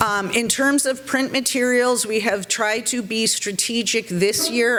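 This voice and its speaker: There is noticeable background noise as a woman speaks at a moderate pace. She talks in a Boston accent. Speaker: civic organization board member. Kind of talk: meeting presentation.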